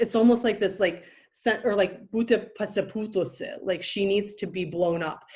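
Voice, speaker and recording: The speaker is a woman with a Lithuanian accent. The recording is very clean, and the background is silent. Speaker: podcast host. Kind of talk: casual chat.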